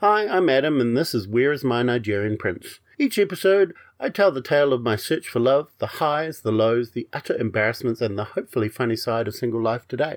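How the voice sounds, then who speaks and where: In a normal speaking voice, a man talks at a fairly quick pace with medium pitch and lively intonation against a quiet background. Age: 40s. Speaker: podcast host. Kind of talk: casual chat.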